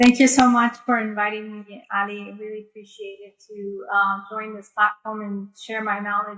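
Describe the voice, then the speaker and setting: With an American accent, a woman speaks at a fairly high pitch. Her pace is moderate. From United States, New York. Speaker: pharmacist and health official. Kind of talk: panel talk.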